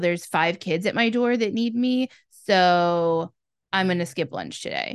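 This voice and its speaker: With a normal speaking voice, a woman talks in a fairly low pitch with lively intonation over a quiet background. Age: 20s. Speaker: podcast co-host. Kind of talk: casual chat.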